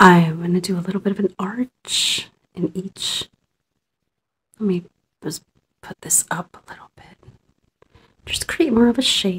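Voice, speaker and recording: Soft-spoken at a fairly slow pace, the speaker leaves long, frequent pauses, with ordinary pitch variation and big swings in loudness. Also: woman, medium pitch for a woman. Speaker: ASMR creator. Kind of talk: ASMR role-play makeup application, soft-spoken. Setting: studio, close-mic ASMR. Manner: soft-spoken, gentle, relaxing. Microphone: phone near.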